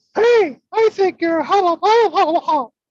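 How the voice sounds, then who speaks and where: Someone speaks at a moderate pace in a put-on character voice with extremely high pitch. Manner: playful cartoonish.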